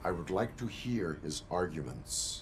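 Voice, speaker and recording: A man speaks at a moderate pace in a put-on character voice with a very deep, low pitch. Background noise is clearly audible. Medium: video game. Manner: flat, formal, unemotional.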